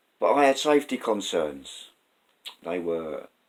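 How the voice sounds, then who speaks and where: The pitch swings very widely in a South London accent. The pace is fairly slow. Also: man. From South London, England. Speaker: vlogger, former train driver. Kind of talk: casual personal storytelling vlog. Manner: conversational, hesitant with fillers.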